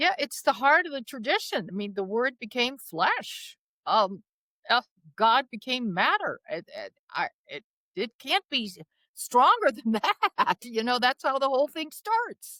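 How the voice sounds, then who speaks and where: Raised and projected, a woman's high-pitched voice has a bright, sharp tone and very wide pitch swings at a fairly slow pace, the sound dry and close with no echo. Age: 80s+. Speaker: nun and spiritual author. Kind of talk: interview conversation.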